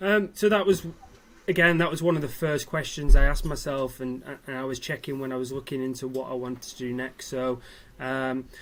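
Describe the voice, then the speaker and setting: A man speaks with a northern English accent at a medium pitch. His pace is fairly quick, with ordinary pitch variation. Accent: northern English, noticeable. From Manchester, northern England. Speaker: mature university student. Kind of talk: interview. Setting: live online event. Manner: hesitant, many fillers.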